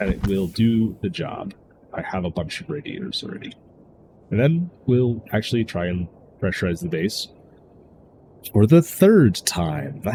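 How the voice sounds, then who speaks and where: In a dark, mellow, somewhat breathy voice, a man speaks at a fairly slow pace with long, frequent pauses, very wide pitch swings and big swings in loudness. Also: medium pitch for a man. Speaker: video game streamer. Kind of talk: gameplay commentary. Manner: casual.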